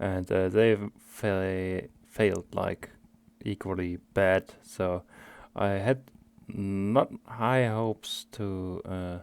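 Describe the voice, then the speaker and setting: A man with a strong German accent speaks very slowly at a fairly low pitch, his intonation fairly even. The recording is very clean, with a silent background. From Germany. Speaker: video game streamer. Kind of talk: gameplay commentary. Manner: halting, many fillers.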